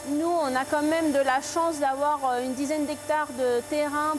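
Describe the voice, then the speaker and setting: A woman at a very slow pace over noticeable background noise. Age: 30s. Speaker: foie gras farmer. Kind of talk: interview answer.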